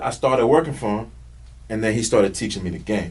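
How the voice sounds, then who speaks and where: With an American accent and ordinary pitch variation, a man speaks in an animated tone. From North Carolina. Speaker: music manager. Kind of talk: podcast interview.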